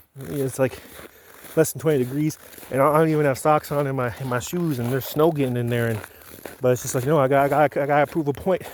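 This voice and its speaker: Over noticeable background noise, a man talks at a very fast pace. His pitch is fairly high and his intonation fairly even. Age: 30s. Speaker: reality show applicant. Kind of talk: casual self-introduction video. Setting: outdoors. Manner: casual.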